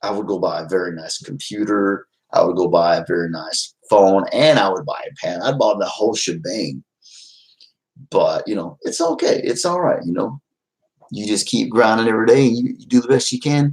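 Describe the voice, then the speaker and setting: An American-accented man at a moderate pace, with big swings in loudness. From Texas, Fort Worth. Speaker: YouTuber. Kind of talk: casual livestream chat. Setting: livestream at home. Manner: loud, trying to quiet down.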